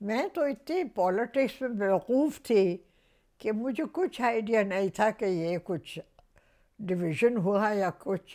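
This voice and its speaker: In a very clean recording with a silent background, a woman with a fairly high pitch speaks in a dark, mellow tone with lively intonation. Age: 80s+. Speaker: actress. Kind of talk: interview answer.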